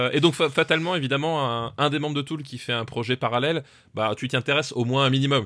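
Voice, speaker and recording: A man's very fast, fairly high-pitched voice, bright and sharp in tone, in a very clean recording over a silent background. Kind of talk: mock boxing ring announcer intro, theatrical bellowed catchphrase.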